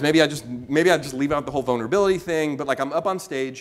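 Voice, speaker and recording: A man with fairly high pitch and ordinary pitch variation speaks over noticeable background noise. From US West Coast, Oakland California. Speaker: keynote speaker. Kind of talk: talk to a live audience. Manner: fast; animated.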